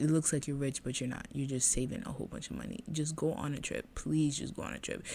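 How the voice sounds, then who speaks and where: A woman's very deep, low voice with a dark, mellow tone and vocal fry, very fast pace, hardly any pauses, and ordinary pitch variation. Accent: American. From Boston, Massachusetts. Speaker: podcast host. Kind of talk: casual monologue podcast.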